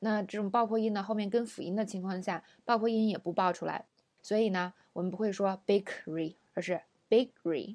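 Her tone dark and mellow, a woman speaks at a moderate pace on a very clean recording with a silent background. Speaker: English pronunciation teacher. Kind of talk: lesson.

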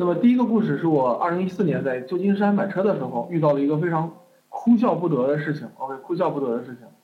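Rattling along at a very fast pace, a man talks at a high pitch with lively intonation. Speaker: online course teacher. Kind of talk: lecture. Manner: casual, lots of fillers.

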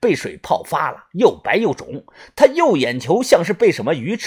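The clip is plain reading aloud. Nothing more than reading aloud is heard.

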